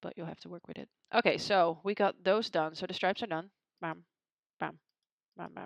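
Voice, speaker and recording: A woman speaks at a fairly quick pace with medium pitch, her loudness swinging widely and her intonation fairly even. The sound is dry and close with no echo, and she leaves long, frequent pauses. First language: not English. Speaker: photographer. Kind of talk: tutorial. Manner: casual, with hesitations.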